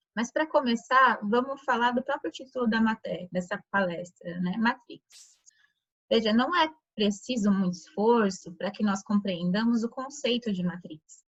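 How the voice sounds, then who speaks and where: Soft-spoken and somewhat breathy, a woman with a fairly high pitch talks at a moderate pace with lively intonation. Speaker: lecturer at a Rosicrucian chapter. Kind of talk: lecture. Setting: video call.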